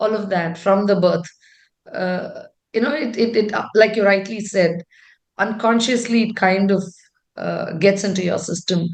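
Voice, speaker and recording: A woman speaks at a moderate pace with medium pitch, fairly even intonation, and long, frequent pauses. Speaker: tech executive. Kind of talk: interview. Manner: loud; talkative.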